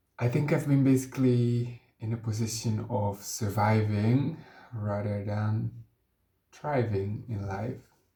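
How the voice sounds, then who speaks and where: A man speaks very slowly at a medium pitch, his dark, mellow tone somewhat breathy and his intonation fairly even. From Netherlands. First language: Dutch. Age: 20s. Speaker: vlogger. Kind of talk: personal introduction vlog. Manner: hesitant, with filler sounds.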